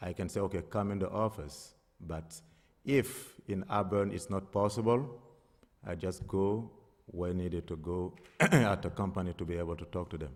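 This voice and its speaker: A non-native accent at a moderate pace, ordinary pitch variation, on a very clean recording with a silent background. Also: man, very deep, low pitch for a man. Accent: foreign. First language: not English. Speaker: applicant. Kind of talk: public hearing testimony. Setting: town board meeting. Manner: hesitant, many fillers.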